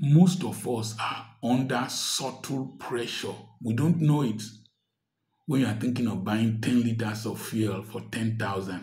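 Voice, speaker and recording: A man's somewhat breathy voice at a fairly slow pace, with ordinary pitch variation. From Nigeria. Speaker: doctor and commentator; commentator. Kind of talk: social commentary monologue. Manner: animated. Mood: earnest, complaining about hardship. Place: home room. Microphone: phone near.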